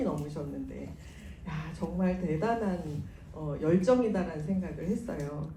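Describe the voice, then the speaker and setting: A woman with a fairly low pitch speaks at a fairly slow pace in a calm tone with lively intonation, amid noticeable background noise and audible room echo. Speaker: business sponsor speaker. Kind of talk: motivational seminar talk. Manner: calm, lullaby-like.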